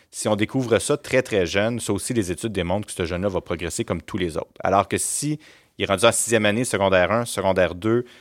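Very fast and fairly low in pitch, a man speaks with ordinary pitch variation in a dry, close sound with no echo on a very clean recording with a silent background. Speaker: school principal. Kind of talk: interview. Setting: studio.

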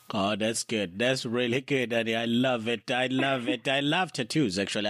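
A man's medium-pitched voice in a South African accent, very even in loudness, on a very clean recording with a silent background. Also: hardly any pauses. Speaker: podcast host. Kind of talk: casual interview. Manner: animated.

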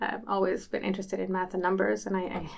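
Speaking at a very fast pace, a woman of medium pitch shows vocal fry. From Sweden, Malmö. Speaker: company CEO and co-founder. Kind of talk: interview.

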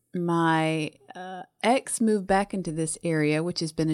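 Recorded dry and close with no echo and a silent background, a woman with a Southern US accent talks in a fairly low pitch on a very clean recording. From US South. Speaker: hospital pharmacist, book club member. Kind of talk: casual chat.

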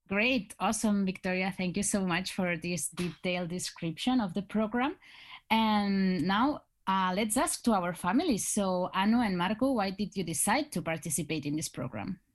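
On a very clean recording with a silent background, a woman with a Spanish accent talks at a moderate pace, her medium-pitched voice somewhat breathy with ordinary pitch variation. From Spain. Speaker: student ambassador, podcast host. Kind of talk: podcast interview.

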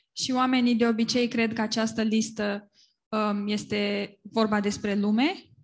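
A woman speaks at a fairly slow pace with a somewhat breathy voice. Her intonation is monotone and flat over a quiet background. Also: fairly high pitch for a woman. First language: Romanian. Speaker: interpreter. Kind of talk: consecutive interpretation. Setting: church with live English speaker.

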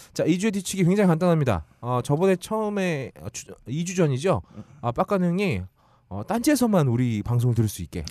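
A man's fairly high voice at a fairly quick pace, with very wide pitch swings and big swings in loudness. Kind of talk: comedic casual chat. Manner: animated.

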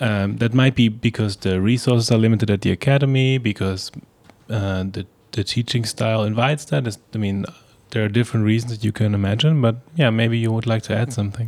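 A man with a plain, everyday voice speaks at a fairly quick pace. His pitch is medium and his intonation fairly even. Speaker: podcast host. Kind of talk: interview conversation.

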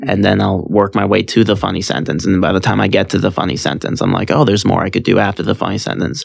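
Over noticeable background noise, a man with an American accent talks at a very fast pace with hardly any pauses, a fairly low pitch and ordinary pitch variation. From California. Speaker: stand-up comedian. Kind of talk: casual chat.

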